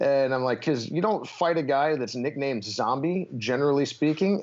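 A man speaks in an unremarkable speaking voice, fairly high in pitch. His pace is fairly quick. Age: 30s. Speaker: MMA fighter. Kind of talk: interview.

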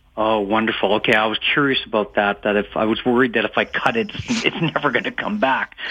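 Noticeable background noise beneath fairly quick speech. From Edmonton, Alberta. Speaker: caller. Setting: phone call.

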